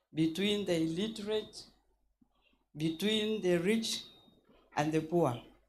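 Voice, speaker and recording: Speaking at a very slow pace with long, frequent pauses, a woman uses a medium pitch and ordinary pitch variation amid audible room echo. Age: 70s. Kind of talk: conference floor remarks. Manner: halting; impassioned.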